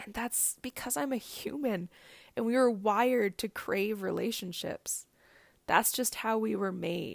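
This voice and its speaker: A woman with a fairly high pitch and an ordinary speaking voice speaks at a fairly slow pace with ordinary pitch variation, on a very clean recording with a silent background. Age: 30s. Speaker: podcast host. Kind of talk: solo podcast monologue. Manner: laughs often while talking.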